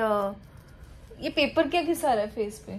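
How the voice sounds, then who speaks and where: A woman is talking. Her voice is fairly high. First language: not Hindi (speaking Hindi). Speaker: vlogger. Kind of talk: casual chat.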